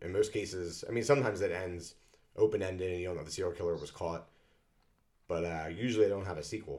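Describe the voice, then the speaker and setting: Very fast and very deep, a man's low voice moves with ordinary pitch variation. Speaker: podcast co-host. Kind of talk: casual chat.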